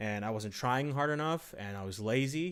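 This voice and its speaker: A man speaks with ordinary pitch variation. The recording is very clean, the background silent. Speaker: gaming live streamer. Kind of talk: live stream chat. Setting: live stream. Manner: fast.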